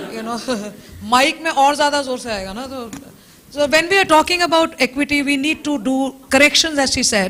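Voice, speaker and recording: Over noticeable background noise, a woman with a high pitch speaks with ordinary pitch variation and big swings in loudness. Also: fairly quick pace. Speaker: lawyer. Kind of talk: conference panel discussion.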